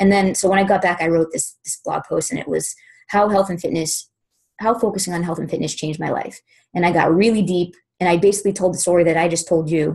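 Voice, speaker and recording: Against a quiet background, a woman with a fairly low, somewhat breathy voice talks at a very fast pace with fairly even intonation. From Boston, US. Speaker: fitness business coach; guest. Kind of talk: testimony. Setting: conference call. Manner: informal. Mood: earnest, reflective. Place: home room. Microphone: webcam.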